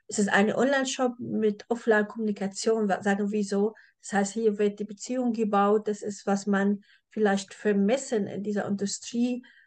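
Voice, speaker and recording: At a moderate pace, a woman with a non-native accent speaks in a medium pitch with monotone, flat intonation. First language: not German (speaking German). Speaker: podcast host, e-commerce agency owner. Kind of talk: podcast interview.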